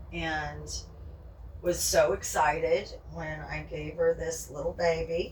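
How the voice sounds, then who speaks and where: The room echo is audible and the background noise noticeable. Within it, a woman talks at a very slow pace. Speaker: pet vlogger. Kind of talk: casual vlog chat. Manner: whispering.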